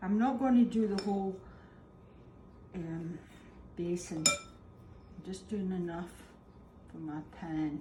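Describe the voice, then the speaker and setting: A woman talks at a very slow pace, with noticeable background noise around her. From Scotland. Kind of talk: cooking demonstration.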